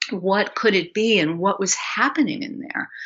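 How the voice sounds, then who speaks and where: At a medium pitch, a woman speaks with very wide pitch swings. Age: 60s. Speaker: health coach and somatic educator. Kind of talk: interview.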